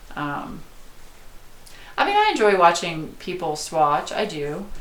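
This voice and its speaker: In an American accent, a woman talks at a fairly slow pace in a fairly low pitch with ordinary pitch variation and big swings in loudness, amid audible room echo and noticeable background noise. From US South. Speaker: art youtuber. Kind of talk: live stream chat. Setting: home, live stream. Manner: casual, hesitant with fillers.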